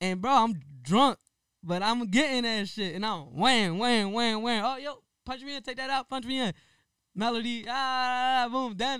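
A man with an extremely high pitch speaks in a raised, projected voice at a fairly slow pace, his tone bright and sharp, with ordinary pitch variation. The recording is very clean, with a silent background. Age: 20s. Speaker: rapper and podcast co-host. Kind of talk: casual chat.

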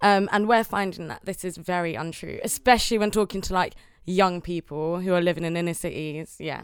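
A woman with a London accent, fairly low pitch, ordinary pitch variation and a fairly quick pace, very cleanly recorded over a silent background. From London (Newham). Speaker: singer and assembly candidate. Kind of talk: panel discussion. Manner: casual, filler-heavy.

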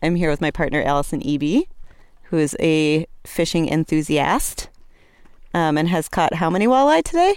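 Speaking at a moderate pace with long, frequent pauses, a woman uses a fairly low voice with ordinary pitch variation and very even loudness. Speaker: guest podcast host and poet. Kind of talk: casual chat. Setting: outdoors.

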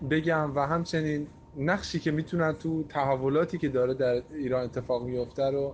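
A man with an unremarkable speaking voice, at a moderate pace, with fairly even intonation and very even loudness. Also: fairly high pitch for a man. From Iran. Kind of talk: recorded opinion voice message.

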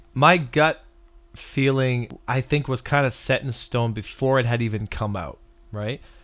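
A man with a Canadian accent has a plain, everyday voice, medium pitch and ordinary pitch variation, and talks at a fairly slow pace. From Canada. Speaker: game player and content creator. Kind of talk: casual chat.

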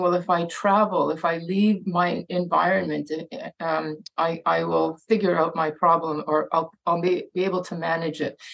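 With flat, monotone intonation, a woman talks at a moderate pace in a fairly low pitch. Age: 60s. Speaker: addiction physician and author. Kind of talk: talk with Q&A. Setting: video call. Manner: halting, many fillers and repetitions.

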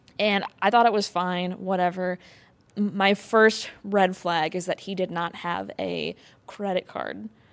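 A woman speaks slowly-ish, at a fairly slow pace, in an ordinary speaking voice with an American accent, medium pitch, and fairly even intonation. The recording is very clean with a silent background. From Wisconsin. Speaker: comedian and actress. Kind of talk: casual comedic chat.

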